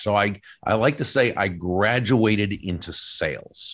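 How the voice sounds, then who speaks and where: An unremarkable speaking voice from a man, fairly low in pitch, with ordinary pitch variation over a quiet background. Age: 60s. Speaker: professional speaker and author. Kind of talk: interview conversation.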